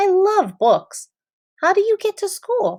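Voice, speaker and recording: Putting on a squeaky character voice, a woman speaks at an extremely high pitch with a warm, gentle tone, lively intonation and a fairly slow pace. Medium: read story.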